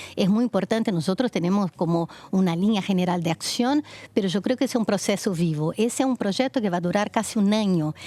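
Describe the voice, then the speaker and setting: A woman with a Brazilian accent speaks at a fairly quick pace in a medium pitch with ordinary pitch variation. Her tone is dark and mellow, and her loudness stays very even. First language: Portuguese (speaking Spanish). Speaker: foundation project leader, women's rights advocate. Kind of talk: TV interview.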